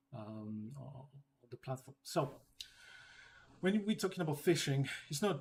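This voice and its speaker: A man's fairly high, somewhat breathy voice with a non-native accent at a fairly slow pace. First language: not English. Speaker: data security trainer. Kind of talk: training session. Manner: halting with many fillers.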